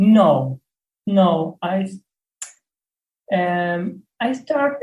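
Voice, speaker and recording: A man speaks with a non-native accent and lively intonation. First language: not English. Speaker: music producer and DJ. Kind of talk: interview. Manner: halting, many fillers.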